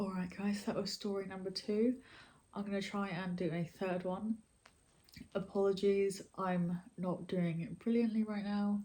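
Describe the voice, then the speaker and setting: A woman with a British accent, dark and mellow in tone, somewhat breathy, medium in pitch, monotone, at a moderate pace. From Britain. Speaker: YouTuber and storyteller. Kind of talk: casual talk to camera.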